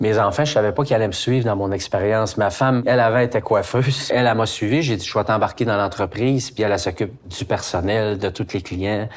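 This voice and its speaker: A man talks at a very fast pace with hardly any pauses. His pitch variation is ordinary. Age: 60s. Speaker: organic farmer and meat processor. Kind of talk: casual interview.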